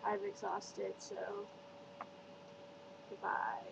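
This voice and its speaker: A woman talks very slowly while loud noise fills the background. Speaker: vlogger. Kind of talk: casual vlog chat. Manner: exhausted, sleepy sign-off. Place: home room. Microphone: webcam.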